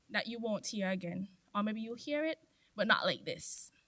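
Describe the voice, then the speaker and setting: In a bright, sharp tone, a woman with a fairly high pitch speaks with very wide pitch swings. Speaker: former scholarship recipient giving a speech. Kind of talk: ceremony speech. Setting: stage with audience. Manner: soft-spoken.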